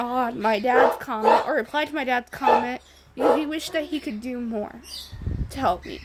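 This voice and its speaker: Over noticeable background noise, a woman speaks at a high pitch and a moderate pace with lively intonation. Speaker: vlogger. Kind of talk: personal video diary. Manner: halting.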